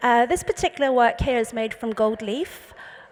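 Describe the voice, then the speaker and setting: A woman with an English accent, high pitch, ordinary pitch variation and a moderate pace. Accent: very English. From England (London). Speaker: artist, painter. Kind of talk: panel talk presenting slides. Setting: panel talk with live audience.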